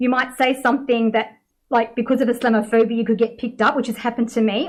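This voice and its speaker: A woman talks at a very fast pace with a fairly high pitch. Her intonation is fairly even. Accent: Australian. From Australia. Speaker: Islamic teacher. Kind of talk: panel discussion. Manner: casual.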